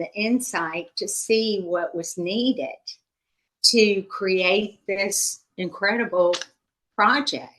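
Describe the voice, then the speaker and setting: Bright and sharp in tone, a woman talks at a very slow pace. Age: 60s. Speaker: investor giving a testimonial. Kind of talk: testimonial interview. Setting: video call. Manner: conversational.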